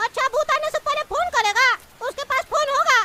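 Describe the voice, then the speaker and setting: An extremely high, put-on character voice speaks at a moderate pace. Its tone is nervous and whiny throughout. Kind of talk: comic overacting. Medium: cartoon. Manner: nervous, whiny.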